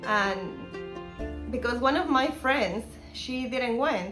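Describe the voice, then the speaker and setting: Woman with a Spanish accent and ordinary pitch variation, with noticeable background noise and audible room echo. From Guatemala. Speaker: missionary intern. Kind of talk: testimony.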